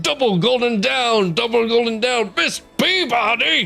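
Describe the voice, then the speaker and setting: A man puts on a character voice, extremely high in pitch and at a moderate speed, with music clearly playing behind him. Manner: yelling, jovial.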